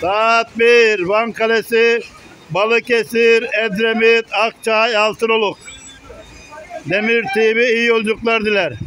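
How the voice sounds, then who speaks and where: Raising and projecting his voice, a man speaks very slowly with very even loudness and monotone, flat intonation. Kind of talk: commentary. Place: station. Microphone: phone near.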